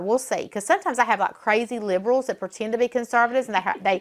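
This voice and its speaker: A woman with a Southern US accent, fairly high pitch, lively intonation and a very fast pace, on a very clean recording with a silent background. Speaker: political talk show host. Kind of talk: casual chat. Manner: animated.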